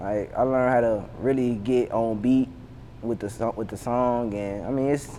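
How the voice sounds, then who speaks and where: A man with a Savannah accent talks at a moderate pace. His medium pitch holds a fairly even intonation. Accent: Savannah southern accent, Geechee-tinged. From US South, Savannah, Georgia. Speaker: rapper. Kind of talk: casual interview. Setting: sit-down interview. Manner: halting, repetitive.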